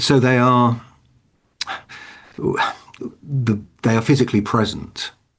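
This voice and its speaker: Over a quiet background, a man is speaking. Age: 60s. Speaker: hospital chaplain and minister. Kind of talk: online lecture Q and A. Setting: online video call. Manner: halting.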